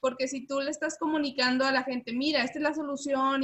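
Her voice raised and projected, a woman with a high pitch and a bright, sharp tone speaks at a fairly quick pace. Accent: northern Mexican. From Monterrey, northern Mexico. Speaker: podcast host. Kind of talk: casual interview chat.

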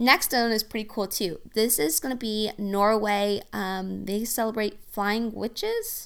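In an Oklahoma accent, a woman speaks at a fairly slow pace with hardly any pauses. Her pitch is fairly high, her intonation fairly even, and the recording very clean with a silent background. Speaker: podcast host. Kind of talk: scripted-style podcast monologue, casual.

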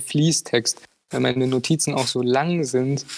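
A man talks at a medium pitch. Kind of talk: casual chat.

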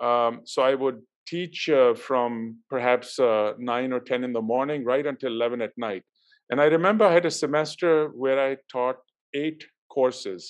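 Against a quiet background, a man speaks at a moderate pace. His pitch is medium, with ordinary pitch variation. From Pakistan. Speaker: university leader. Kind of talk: interview. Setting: video call. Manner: hesitant, many fillers.

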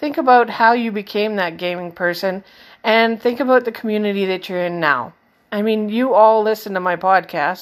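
An ordinary speaking voice at a moderate pace with ordinary pitch variation comes through on a very clean recording with a silent background. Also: woman. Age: 40s. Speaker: gaming podcast host. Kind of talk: casual solo podcast monologue.

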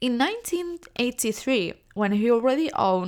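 On a very clean recording with a silent background, a woman with a non-native accent talks at a moderate pace with lively intonation. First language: not English. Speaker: English learner podcaster. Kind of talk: reading aloud; casual monologue. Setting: home recording. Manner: halting.

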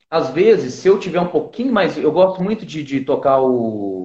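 This man speaks at a moderate pace. His pitch swings very widely. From southern Minas Gerais, Brazil. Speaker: flautist. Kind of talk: interview.

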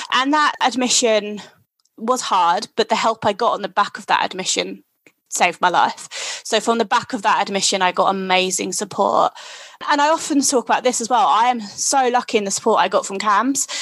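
Speaking at a moderate pace, a woman has a normal speaking voice that sits fairly high, with ordinary pitch variation. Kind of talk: casual interview.

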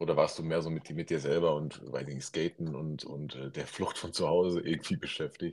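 A man's very deep, low voice with vocal fry, monotone and flat, at a moderate pace with hardly any pauses. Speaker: podcast host. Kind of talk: casual interview. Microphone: phone without AirPods.

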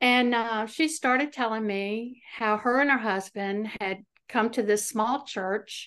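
In an American accent, a woman talks in an ordinary speaking voice with a fairly high pitch and ordinary pitch variation against a quiet background. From US South, Central Virginia. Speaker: evangelist. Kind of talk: testimony.

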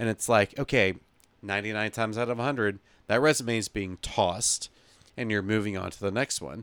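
On a very clean recording with a silent background and a dry, close sound with no echo, a man uses a plain, everyday voice, fairly low in pitch, at a moderate pace with ordinary pitch variation. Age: 30s. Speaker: podcast co-host. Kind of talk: casual chat.

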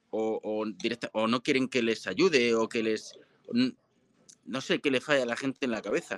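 A man's medium-pitched, ordinary speaking voice at a moderate pace, with ordinary pitch variation and a dry, close sound with no echo. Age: 30s. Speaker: marketing agency founder. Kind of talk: interview. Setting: live stream.

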